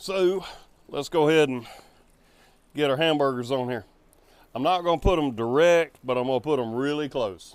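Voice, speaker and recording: This man talks at a moderate pace with a relaxed tone. His pitch is fairly high, with ordinary pitch variation. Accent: Southern US. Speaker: home barbecue cook. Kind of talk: casual cooking tutorial to camera. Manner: relaxed, folksy.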